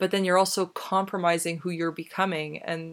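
A woman's plain, everyday voice at medium pitch and moderate pace, fairly even intonation, on a very clean recording with a silent background. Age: 20s. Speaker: podcast host. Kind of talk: solo commentary monologue. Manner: casual, conversational with laughs.

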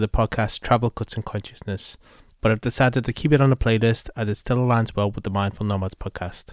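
In a very clean recording with a silent background and a dry, close sound with no echo, a man with a Liverpool accent speaks at a fairly quick pace with fairly even intonation. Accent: Liverpool (Scouse). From Liverpool, England. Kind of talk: scripted intro; casual interview chat.

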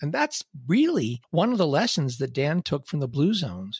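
A man with a fairly high pitch and a somewhat breathy voice talks at a moderate pace with very wide pitch swings, recorded very cleanly against a silent background. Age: 60s. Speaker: podcast host. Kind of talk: solo podcast monologue.

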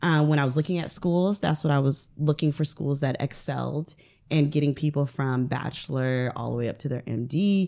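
A woman's very deep, low voice, dark and mellow in tone, with an American accent. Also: ordinary pitch variation, moderate pace. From US Midwest, northern Ohio. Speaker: mental health therapist. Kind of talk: casual interview. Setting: studio.

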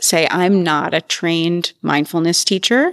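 In a very clean recording with a silent background and a dry, close sound with no echo, a woman speaks in a normal speaking voice at a fairly low pitch, with fairly even intonation and a fairly slow pace. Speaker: research professor and yoga teacher. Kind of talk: guided meditation. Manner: slow, calm, soothing; gentle, measured, with long pauses.

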